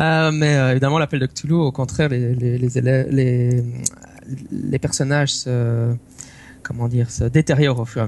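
Fairly even intonation runs through a somewhat breathy voice. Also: man. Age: 30s. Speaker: tabletop role-playing game master and podcaster. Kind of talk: casual chat. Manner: halting, many repetitions.

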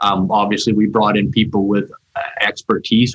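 There's no echo on this man's voice, which sounds dry and close. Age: 50s. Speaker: mining company executive. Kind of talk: interview. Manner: halting, many fillers.

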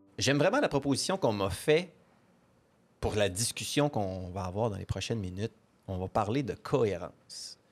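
In a very clean recording with a silent background, a man with a fairly low pitch speaks at a moderate pace, using lively intonation and long, frequent pauses. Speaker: podcast host. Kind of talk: interview. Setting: conference, around a table with mics.

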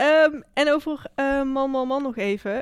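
A woman speaks at a high pitch. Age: 20s. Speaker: podcast host and student. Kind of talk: interview conversation. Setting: studio.

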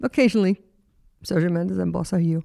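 A woman speaks at a fairly low pitch in a dark, mellow tone, her voice making very wide pitch swings. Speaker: radio host. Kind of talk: interview. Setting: studio.

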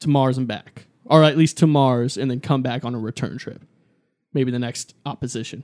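Here a man uses an ordinary speaking voice at a medium pitch, keeping a moderate pace and fairly even intonation. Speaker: podcast host. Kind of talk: casual chat.

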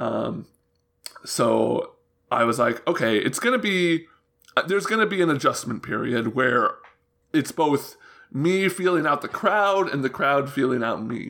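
This man's pitch is fairly high and swings very widely, with vocal fry throughout. He talks at a fairly slow pace with long, frequent pauses. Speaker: games journalist. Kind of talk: casual interview chat.

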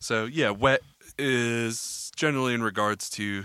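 Heard in a very clean recording with a silent background, a man talks at a very slow pace. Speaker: podcast co-host, audio engineer. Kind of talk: casual banter with explanation. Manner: laid-back, joking.

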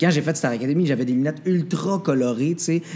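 The man's voice sits fairly high in pitch and carries ordinary pitch variation. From Quebec, Mauricie village. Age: 20s. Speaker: singer and TV/radio host. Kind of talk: interview. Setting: restaurant.

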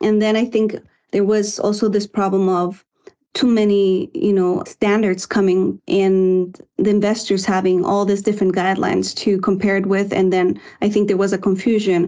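In a Spanish accent, a woman speaks at a moderate pace with a dark, mellow tone, medium pitch and fairly even intonation over a quiet background. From Guatemala. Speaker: environmental consultant and author. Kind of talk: interview.

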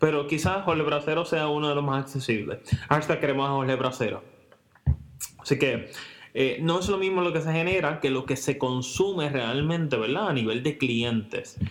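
A normal speaking voice, fairly high in pitch, belongs to a man talking at a moderate pace with ordinary pitch variation. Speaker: podcast co-host. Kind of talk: casual chat. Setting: home recording, same room.

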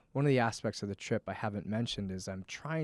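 Fairly low in pitch with ordinary variation, a man speaks in an unremarkable speaking voice with an American accent. The recording is very clean, with a silent background and a dry, close sound with no echo. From Connecticut. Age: 30s. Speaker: fitness and wellness coach. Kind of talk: casual interview. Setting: studio.

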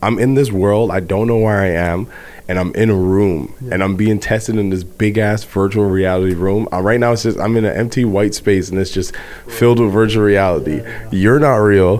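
Against noticeable background noise, a man with a fairly low pitch talks at a fairly quick pace with fairly even intonation and hardly any pauses. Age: 20s. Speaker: guest co-host. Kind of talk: casual chat.

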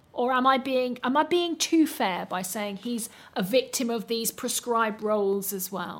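A plain, everyday voice from a woman, moderately paced and fairly high-pitched. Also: hardly any pauses. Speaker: theatre critic interviewer. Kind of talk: interview.

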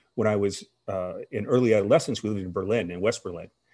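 A man with a fairly low pitch has an unremarkable speaking voice. He moves at a fairly quick pace with fairly even intonation. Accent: American. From US, army brat. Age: 50s. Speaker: former national security official. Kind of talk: interview.

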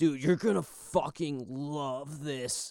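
Someone uses a put-on character voice at a low-to-middle pitch. The delivery is very slow. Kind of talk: casual, slangy. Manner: laid-back, slangy, enthusiastic.

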